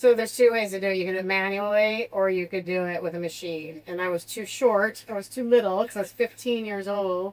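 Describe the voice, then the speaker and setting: Talking at a fairly quick pace with hardly any pauses, a woman with an American accent uses a medium pitch and fairly even intonation. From US Midwest, Southern Illinois. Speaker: podcast co-host. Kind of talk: casual chat.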